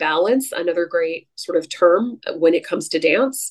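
In an American accent, a woman with an ordinary speaking voice talks at a fairly slow pace, her pitch fairly low with ordinary variation. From US West Coast, San Francisco Bay Area. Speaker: astrologer. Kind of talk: casual interview conversation.

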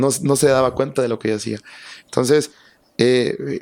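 The delivery moves at a fairly quick pace. It is a plain, everyday voice. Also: man. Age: 30s. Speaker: radio announcer. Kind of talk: casual chat.

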